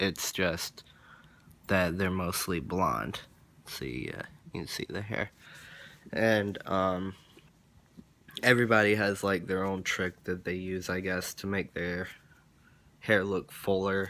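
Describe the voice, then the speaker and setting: Very slow and broken by long, frequent pauses, a man's speech has a very deep, low pitch, a bright, sharp tone and fairly even intonation. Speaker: vlogger. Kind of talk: casual vlog. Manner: rambling with many fillers.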